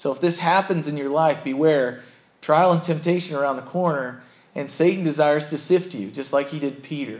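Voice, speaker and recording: Using a normal speaking voice, a man with fairly high pitch talks at a fairly quick pace with fairly even intonation. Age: 30s. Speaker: pastor. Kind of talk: sermon.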